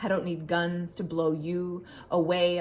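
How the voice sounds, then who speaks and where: Noticeable background noise accompanies a woman speaking at medium pitch. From Ontario, Canada. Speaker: spoken word poet. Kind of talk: spoken word poetry performance.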